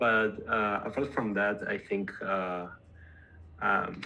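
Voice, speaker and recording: A strong Spanish accent with a bright, sharp tone. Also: man. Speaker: tech company co-founder. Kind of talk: casual interview. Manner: halting, repeats words.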